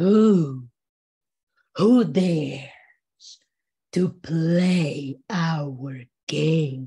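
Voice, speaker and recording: Someone performs a put-on character voice at a middle pitch. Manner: ominous, challenging.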